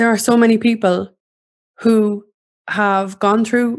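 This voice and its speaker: With an Irish accent, the speaker talks very slowly in a monotone, flat intonation. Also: woman. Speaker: podcast host.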